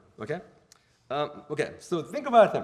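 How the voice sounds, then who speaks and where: The man's pitch swings very widely. He talks at a fairly quick pace. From Korea, moved to US at ten. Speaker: theology professor. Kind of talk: lecture. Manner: casual, halting with fillers.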